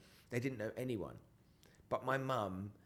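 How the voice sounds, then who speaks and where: In an English accent, a man talks at a moderate pace with ordinary pitch variation. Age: 50s. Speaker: entrepreneur. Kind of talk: podcast interview.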